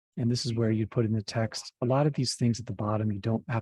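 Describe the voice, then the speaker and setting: A man speaks at a fairly quick pace with a medium pitch and fairly even intonation. His tone is dark, mellow and somewhat breathy, with a dry, close sound and no echo. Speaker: software trainer. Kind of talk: tutorial.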